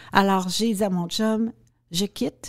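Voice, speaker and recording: A woman with a dark, mellow tone and a medium pitch speaks at a very slow pace with ordinary pitch variation, recorded very cleanly against a silent background with a dry, close sound and no echo. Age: 60s. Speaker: restaurant owner and former political staffer. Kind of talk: interview conversation. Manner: halting.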